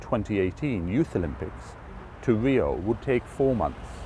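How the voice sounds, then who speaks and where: Man with an English accent, medium pitch, very wide pitch swings, vocal fry, a dark, mellow tone and a moderate pace. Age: 50s. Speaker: former politician and charity walker. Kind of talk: interview.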